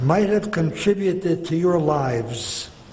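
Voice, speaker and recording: A high-pitched man with lively intonation, over noticeable background noise and audible room echo. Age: 90s. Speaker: retired rabbi and school principal. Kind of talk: formal speech. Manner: formal.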